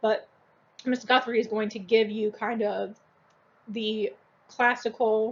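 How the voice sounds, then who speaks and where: A woman speaks at a moderate pace in a fairly high voice. Her intonation stays flat and monotone. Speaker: school teacher. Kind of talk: recorded lecture. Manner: casual, filler-heavy.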